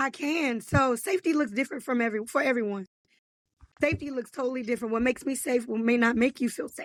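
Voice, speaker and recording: Speaking at a very fast pace, a woman uses a high pitch, an energetic tone and ordinary pitch variation. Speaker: life coach and author. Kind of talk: podcast interview.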